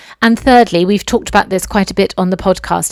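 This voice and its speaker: A woman talks very fast in a British accent. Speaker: podcast host, dressmaker. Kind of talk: solo podcast monologue. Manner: animated.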